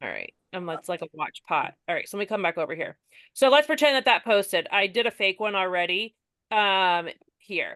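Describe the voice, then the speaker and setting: This woman's voice sits at a medium pitch. She speaks with lively intonation. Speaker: direct sales consultant. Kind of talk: tutorial. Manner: fast.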